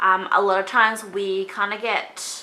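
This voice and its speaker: Speaking at a fairly slow pace in an Australian accent, a woman with a medium pitch has a bright, sharp tone. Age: 20s. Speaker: beauty vlogger. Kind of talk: casual chat. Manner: casual, chatty.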